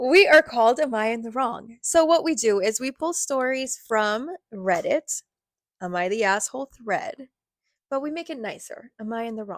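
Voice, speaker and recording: The voice sounds energetic, with lively intonation and big swings in loudness. It moves at a moderate pace, dry and close with no echo. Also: woman, high pitch for a woman. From Latin America. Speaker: podcast co-host. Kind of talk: casual chat.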